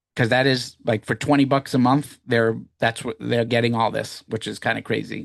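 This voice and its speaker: A man with an American accent has a normal speaking voice at a medium pitch. He talks at a moderate pace against a quiet background. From Massachusetts, near Boston (Woburn). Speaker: business founder presenting to evaluators. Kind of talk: live Q&A webinar. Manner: casual, many fillers and restarts.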